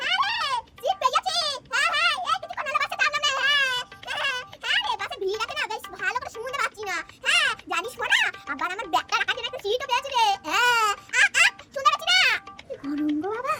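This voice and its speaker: A woman does a cartoonish character voice at an extremely high pitch, with lively intonation and a fairly quick pace. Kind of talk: comic overacting. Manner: loud, chatty, melodramatic.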